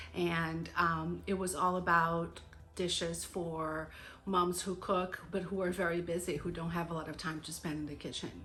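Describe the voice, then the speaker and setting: In a room with audible echo, a woman speaks at a moderate pace with a fairly low pitch, monotone, flat intonation and a bright, sharp tone. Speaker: homemaking vlogger. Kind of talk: casual vlog talk.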